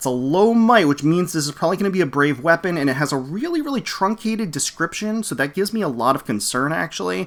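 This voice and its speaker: A man talks in an animated, bright, sharp tone with lively intonation. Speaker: gaming YouTuber. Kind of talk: live reaction and game review. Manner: fast and loud; animated, frequent fillers.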